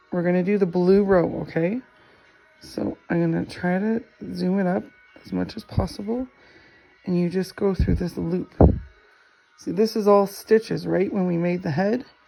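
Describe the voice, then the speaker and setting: Moderately paced speech with long, frequent pauses and music in the background. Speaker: crafting tutorial creator. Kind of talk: tutorial. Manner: casual, repeats okay often.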